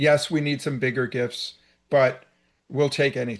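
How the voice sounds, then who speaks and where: A man with a fairly high pitch has an unremarkable speaking voice and fairly even intonation. The background is quiet. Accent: American. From New York, downstate (New Rochelle area). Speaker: cable and media executive. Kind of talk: interview.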